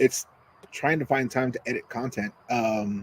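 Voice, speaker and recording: Mumbling at a fairly slow pace, a man at medium pitch is heard in a dry, close sound with no echo. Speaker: cigar reviewer and podcast co-host. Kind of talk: casual chat.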